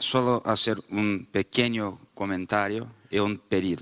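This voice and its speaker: Medium-pitched male voice in a Portuguese accent, bright and sharp in tone, with a dry, close sound and no echo on a very clean recording against a silent background. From Brazil. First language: Portuguese (speaking Spanish). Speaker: panelist at a faith and politics summit. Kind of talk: panel talk with live interpretation. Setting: conference panel. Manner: halting, with false starts.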